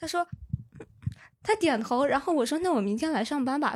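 With ordinary pitch variation, a woman's speech runs at a fairly quick pace. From Anhui. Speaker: audience member. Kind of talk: casual chat. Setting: stage with audience.

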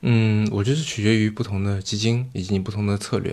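A man at a fairly quick pace in a very clean recording with a silent background. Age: young. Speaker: venture capitalist and podcast host. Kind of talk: casual interview conversation. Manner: deadpan.

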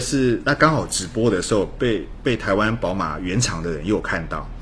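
A man talks at a moderate pace with hardly any pauses. There is noticeable background noise. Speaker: car reviewer. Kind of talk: casual interview chat.

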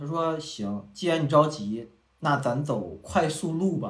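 Audible room echo surrounds a man who speaks at a fairly slow pace with a fairly high pitch. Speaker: podcast co-host. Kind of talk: casual chat.

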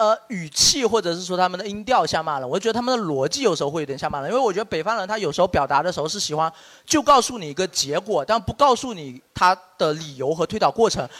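Speaking very fast with hardly any pauses, a man with a southern Chinese accent uses a high pitch and lively intonation. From Shaxian, Sanming, Fujian, southern China. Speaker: podcast host. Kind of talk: casual group chat before live audience.

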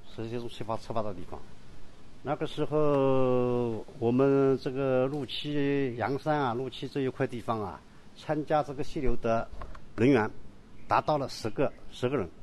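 A man talks at a fairly slow pace, his medium-pitched voice carrying fairly even intonation. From Yangshan, Wuxi, Jiangsu. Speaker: local historian and tour guide. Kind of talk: guided walking tour. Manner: halting, many fillers.

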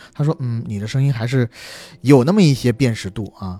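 A man's very fast, somewhat breathy voice with a dark, mellow tone. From southern China. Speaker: podcast co-host. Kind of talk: casual chat.

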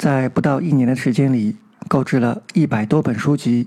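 Speaking at a moderate pace, a man has a medium pitch, a dark, mellow tone and ordinary pitch variation. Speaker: amateur audiobook narrator and channel host. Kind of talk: scripted monologue to listeners.

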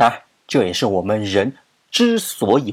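His intonation moves in a lively way. A man talks at a fairly slow speed. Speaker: podcast host. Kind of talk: casual explanatory monologue. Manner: animated.

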